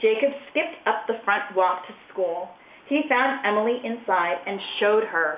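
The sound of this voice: Just an unforced reading voice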